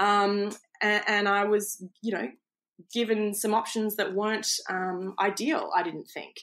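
With an Australian accent, a woman of medium pitch speaks fairly slowly and with fairly even intonation. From Australia, Queensland. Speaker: entrepreneur and former foreign correspondent. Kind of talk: interview. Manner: hesitant fillers.

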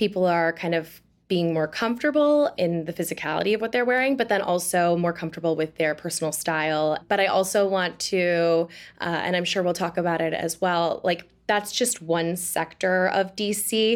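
A woman with an American accent speaks at a moderate pace, her pitch fairly low with ordinary variation. Her loudness stays very even on a very clean recording with a silent background. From Wisconsin, Oshkosh. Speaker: digital creator. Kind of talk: casual interview. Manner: animated.

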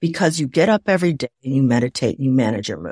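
A woman's very deep, low-pitched voice at a fairly quick pace, with a dry, close sound with no echo and a very clean recording with a silent background. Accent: American. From US Midwest, Waukegan, Illinois. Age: 60s. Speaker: former TV producer and author. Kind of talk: interview conversation. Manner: animated.

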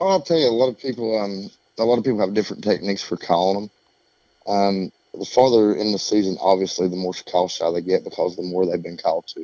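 A man's very fast speech in an Appalachian accent, fairly low in pitch with ordinary pitch variation. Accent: Southern Appalachian American. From East Tennessee, southern Appalachians. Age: 40s. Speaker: turkey call maker. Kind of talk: podcast interview.

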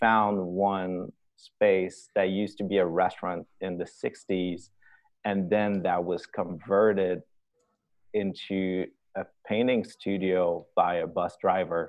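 This man speaks at a very slow pace in a Quebec accent. His voice is very deep and low, his intonation monotone and flat. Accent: Québécois French-accented English. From Quebec, Canada. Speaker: streetwear designer. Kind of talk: casual interview. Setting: call.

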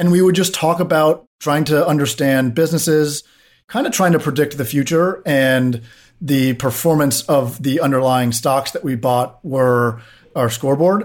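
A man with an ordinary speaking voice talks at a fairly high pitch with ordinary pitch variation, on a very clean recording with a silent background. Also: moderate pace. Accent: American. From US, Washington DC. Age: 30s. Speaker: tech founder and CEO. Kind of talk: podcast interview.

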